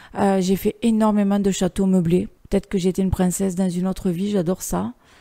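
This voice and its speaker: A woman's dark, mellow tone in a dry, close sound with no echo. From southern France, Narbonne. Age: 40s. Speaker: urban exploration photographer. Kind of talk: interview monologue. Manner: hesitant, many fillers.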